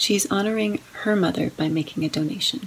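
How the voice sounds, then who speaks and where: With lively intonation and a normal speaking voice, a woman of medium pitch talks at a moderate pace. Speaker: lay reader. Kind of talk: reading aloud.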